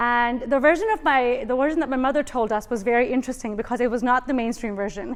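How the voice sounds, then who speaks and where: A woman talks fairly quickly, her high pitch varying in an ordinary way. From Indian family background (Urdu-speaking household). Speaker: nurse. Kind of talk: TEDx talk.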